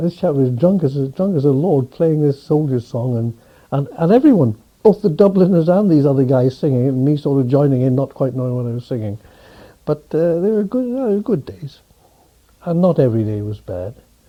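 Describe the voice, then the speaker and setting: With a Welsh accent, a man speaks at a fairly quick pace in a fairly high pitch with lively intonation. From West Wales, Pembrokeshire. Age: 70s. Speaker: interviewee recalling his life. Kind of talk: oral history interview. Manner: halting, many repetitions.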